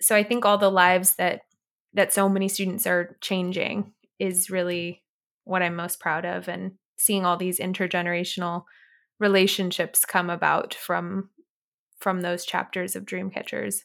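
In an American accent, a woman talks at a moderate pace with a medium pitch and monotone, flat intonation. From US West Coast, Orange County, Southern California. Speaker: nonprofit founder. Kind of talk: interview.

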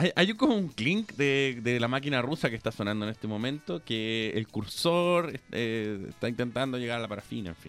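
Music plays behind a man with a Chilean accent who speaks at a moderate pace and a medium pitch, with lively intonation and hardly any pauses. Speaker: radio host. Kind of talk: casual chat.

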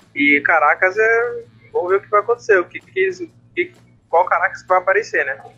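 The speaker has a Brazilian accent and a moderate pace. There are long, frequent pauses and big swings in loudness. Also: man. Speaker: podcast co-host and flag football player. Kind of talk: casual sports chat.

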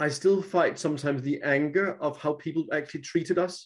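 A man with a Danish accent speaks at a fairly high pitch with ordinary pitch variation. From Denmark. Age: 50s. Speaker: author. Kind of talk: casual chat.

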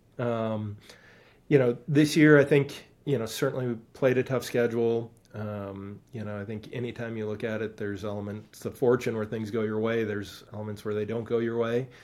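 Speaking in an Upper Midwest accent, a man keeps a moderate pace, a medium pitch and fairly even intonation. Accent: Upper Midwest American. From Wisconsin (Stevens Point). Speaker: college soccer coach. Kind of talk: interview.

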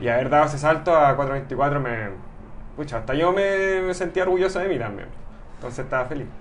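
Audible room echo surrounds a man who talks at a fairly quick pace with lively intonation. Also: fairly high pitch for a man. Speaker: amateur triathlete. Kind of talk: interview.

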